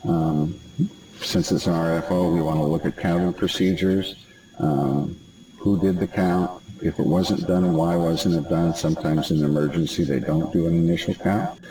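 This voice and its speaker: Over noticeable background noise, a man with a very deep, low pitch speaks at a moderate pace, his intonation fairly even and his loudness very even. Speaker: trainer for health facility surveyors. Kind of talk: online training presentation.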